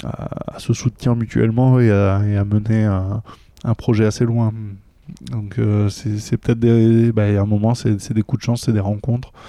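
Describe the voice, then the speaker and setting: Slow-paced and flat, a man with a fairly low pitch speaks in a monotone with a dark, mellow tone. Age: 40s. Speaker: gaming association volunteer. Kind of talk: casual interview chat. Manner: hesitant, repeats words.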